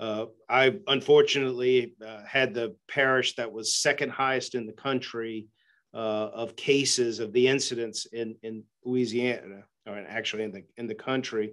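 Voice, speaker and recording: Speaking at a moderate pace, the man keeps his intonation fairly even against quiet surroundings. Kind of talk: interview answer. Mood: serious, concerned. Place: office. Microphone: video call.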